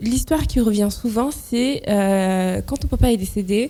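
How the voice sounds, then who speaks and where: A woman talks at a moderate pace. Her voice is dark and mellow, at a medium pitch. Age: 20s. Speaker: intensive care nurse. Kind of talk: interview. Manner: hesitant, many fillers.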